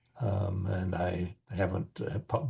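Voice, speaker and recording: A man with an Upper Midwest accent speaks in a very deep, low pitch that is somewhat breathy. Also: quiet background. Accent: Upper Midwest American. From US Midwest, rural Wisconsin. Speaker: author and podcast co-host. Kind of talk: interview, casual chat. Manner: halting, many fillers.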